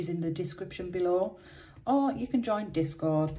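A woman speaks at a fairly quick pace. Her pitch varies in an ordinary way. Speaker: scratch card video host. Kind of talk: casual vlog chat. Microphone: phone near.

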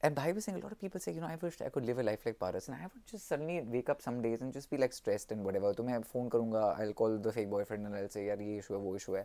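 Talking very fast, a man uses lively intonation and a dark, mellow tone. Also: hardly any pauses. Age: 30s. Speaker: company founder and vlogger; vlogger. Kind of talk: personal vlog monologue. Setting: on holiday in Australia. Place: home room. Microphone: phone near.

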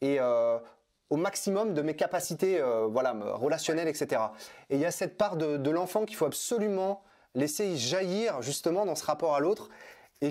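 Speaking at a fairly quick pace, the man has a fairly high pitch and lively intonation. The background is quiet. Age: 30s. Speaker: personal development trainer and author; personal development trainer. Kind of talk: interview. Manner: halting, many fillers and repetitions. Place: home room. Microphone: lapel.

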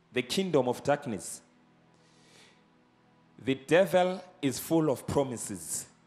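A man talks fairly slowly while faint music sits in the background. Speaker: evangelist preacher. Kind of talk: sermon. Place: church. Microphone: handheld.

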